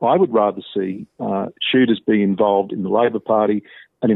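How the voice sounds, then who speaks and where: Talking at a moderate pace, a man uses ordinary pitch variation. He speaks with an Australian accent. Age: 50s. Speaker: professor and archbishop, author. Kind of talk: interview. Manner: measured.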